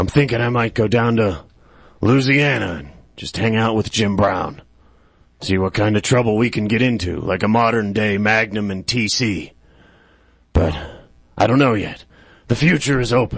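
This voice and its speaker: In a put-on character voice, a man speaks raspily at a medium pitch and a moderate pace, with ordinary pitch variation and long, frequent pauses. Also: quiet background. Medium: comedy sketch. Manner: hesitant, weary.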